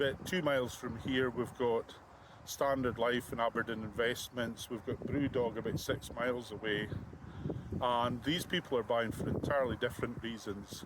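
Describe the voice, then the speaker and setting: A man with a Scottish Highland accent, fairly even intonation and a moderate pace, over noticeable background noise. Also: medium pitch for a man. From Scottish Highlands, Kingussie area. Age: 60s. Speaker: crofter and farmer starting a political party. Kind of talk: interview.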